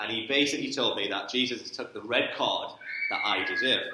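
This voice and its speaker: Very fast speech from a man with a Geordie accent, with audible room echo and noticeable background noise. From northern England, Newcastle. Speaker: sports ministry trainer. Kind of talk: church talk. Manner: casual, conversational.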